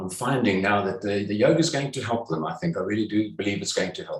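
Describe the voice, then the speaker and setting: Somewhat breathy and fairly low in pitch, a man talks at a fairly quick pace with ordinary pitch variation. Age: 70s. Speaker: yoga teacher. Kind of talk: interview. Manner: halting, many fillers.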